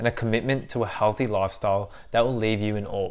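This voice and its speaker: This is an unremarkable speaking voice from a man at medium pitch and a moderate pace. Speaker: podcast host. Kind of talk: podcast intro.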